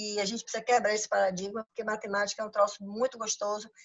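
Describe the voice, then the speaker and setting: A woman talks in a fairly high pitch. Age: 60s. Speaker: financial consultant and business coach. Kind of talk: lecture. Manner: halting, many repetitions.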